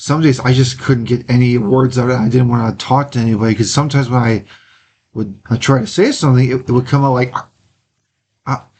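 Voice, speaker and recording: In an American accent, the voice is somewhat breathy, with fairly even intonation and a fairly quick pace. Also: man, medium pitch for a man. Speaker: amateur theater actor. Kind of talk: interview. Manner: halting, with fillers.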